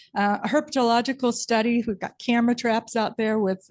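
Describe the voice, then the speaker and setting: Against a quiet background, a woman speaks at a moderate pace. Her pitch is fairly high. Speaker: marine science professor. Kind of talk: presentation to city council. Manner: soft-spoken.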